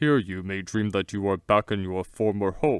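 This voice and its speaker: In a put-on character voice, a man speaks at a fairly low pitch and moderate pace with ordinary pitch variation, the sound dry and close with no echo. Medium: read story. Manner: warm, courtly, reassuring.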